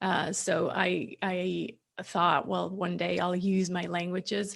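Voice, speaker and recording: A woman with an American accent and vocal fry. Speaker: business coach. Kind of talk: interview answer.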